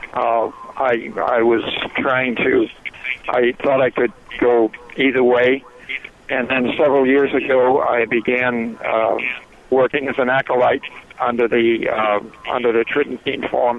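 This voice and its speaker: A man at a medium pitch, fairly slow and monotone, with flat intonation, very even loudness, long and frequent pauses, and noticeable background noise. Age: 70s. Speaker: caller. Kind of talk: call-in comment. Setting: phone call.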